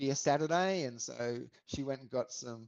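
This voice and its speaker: A man with an Australian accent. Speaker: podcaster and hip hop lyricist. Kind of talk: podcast interview.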